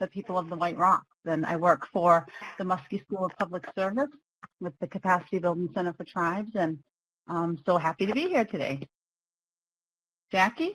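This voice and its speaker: A woman with an American accent speaks at medium pitch and a moderate pace, with ordinary pitch variation. The sound is dry and close with no echo, and she takes long, frequent pauses. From Maine, US (Passamaquoddy community). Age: 50s. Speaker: webinar facilitator. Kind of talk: webinar presentation. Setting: online webinar.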